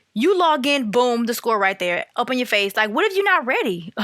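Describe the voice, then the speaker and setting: The voice is raised and projected, with an animated tone and very wide pitch swings. It moves at a fairly quick pace. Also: woman. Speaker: podcaster. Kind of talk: casual monologue. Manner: loud.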